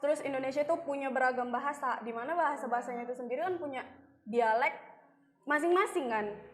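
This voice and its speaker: Against noticeable background noise, a woman with a high voice speaks at a very fast pace with ordinary pitch variation. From North Sumatra, Medan. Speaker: student podcaster. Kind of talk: casual chat.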